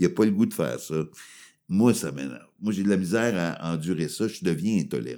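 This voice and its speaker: In a Quebec accent, a man talks at a fairly quick pace with a very deep, low pitch, lively intonation and vocal fry. His tone is dark and mellow, and the recording is very clean with a silent background. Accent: Québécois French. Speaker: comedian. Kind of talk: casual chat. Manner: animated.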